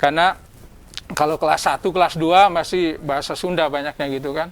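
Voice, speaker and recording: A man talks at a fairly quick pace in a West Javanese accent. His pitch is fairly high and his intonation fairly even. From Lebak, Banten, Indonesia. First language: Sundanese (speaking Indonesian). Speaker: head of a government language office. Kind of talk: talk show interview. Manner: halting, with many fillers.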